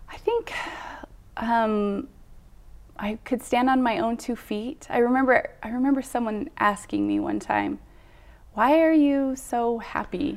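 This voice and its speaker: With an American accent, a woman speaks at a high pitch and a fairly slow pace, leaving long, frequent pauses. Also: ordinary pitch variation. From Utah. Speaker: church member sharing faith story. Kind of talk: testimony.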